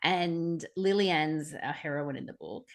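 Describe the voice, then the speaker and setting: With an Australian accent, a woman speaks at a fairly low pitch with ordinary pitch variation over a quiet background. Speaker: podcast co-host. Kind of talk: casual book discussion. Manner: hesitant, many fillers.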